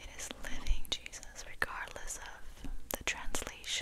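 A woman whispers in a calm tone. Her pace is very slow. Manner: whispered, soft-spoken, calm. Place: home room. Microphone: studio mic.

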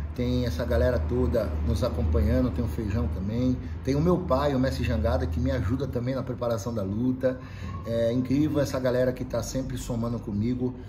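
Over noticeable background noise, a man speaks at a medium pitch with very wide pitch swings. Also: fairly quick pace. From Brazil. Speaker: MMA fighter and capoeira practitioner. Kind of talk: casual vlog message to followers. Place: gym. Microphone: camera far.

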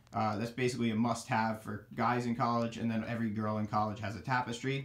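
Fairly quick-paced speech from a man. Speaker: college student vlogger. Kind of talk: casual room tour commentary. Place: home room. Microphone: phone near.

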